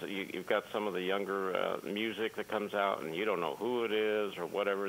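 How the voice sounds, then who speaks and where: This man has an unremarkable speaking voice pitched fairly low. He talks at a fairly quick pace with fairly even intonation. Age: 60s. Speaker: caller. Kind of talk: casual chat.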